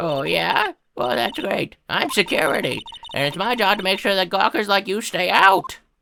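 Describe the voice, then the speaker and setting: Putting on a character voice, a woman at a medium pitch makes very wide pitch swings. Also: moderate pace. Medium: dub. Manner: brash, gruff.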